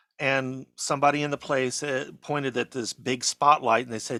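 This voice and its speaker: A man speaks with a bright, sharp tone at a fairly high pitch. The sound is dry and close with no echo, on a very clean recording with a silent background. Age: 60s. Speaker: film producer and cameraman. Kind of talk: interview.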